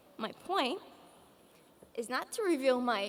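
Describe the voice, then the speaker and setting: A woman with a high pitch takes a fairly slow pace. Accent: Polish. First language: Polish. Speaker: graduating student speaker. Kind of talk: commencement speech. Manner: formal.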